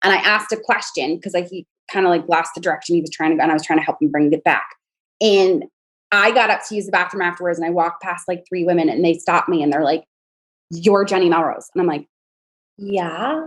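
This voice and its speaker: Speaking very fast with an American accent, a woman keeps a fairly low pitch with ordinary pitch variation. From New York area. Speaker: podcast host. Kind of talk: podcast interview.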